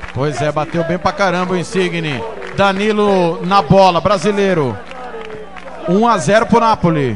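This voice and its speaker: With crowd noise behind him, a man talks in a high pitch, stopping often for long pauses. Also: ordinary pitch variation. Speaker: radio match narrator. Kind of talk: live radio football commentary, penalty shootout. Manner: dramatic, rising call at each kick, drawn-out goal shouts.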